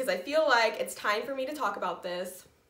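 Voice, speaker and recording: A woman talks at a fairly quick pace in an American accent, her fairly high voice making very wide pitch swings. Noticeable background noise and audible room echo fill the recording. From Indiana, US Midwest. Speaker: knitting podcaster. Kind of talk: personal vlog update.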